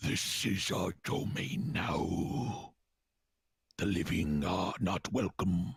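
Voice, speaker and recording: Putting on a character voice, a man speaks very slowly, raspy and guttural at a fairly low pitch. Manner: menacing.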